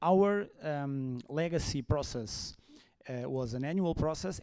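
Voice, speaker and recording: With a Portuguese accent, a man speaks in a dark, mellow tone and lively intonation. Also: very clean recording, silent background. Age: 40s. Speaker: HR consultant. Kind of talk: conference talk. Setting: stage with audience. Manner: halting.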